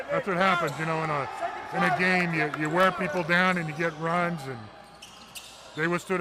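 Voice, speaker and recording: Noticeable background noise sits behind a man speaking in a fairly high voice. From Texas, Houston. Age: 60s. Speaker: basketball color commentator. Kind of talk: live commentary. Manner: halting, many fillers.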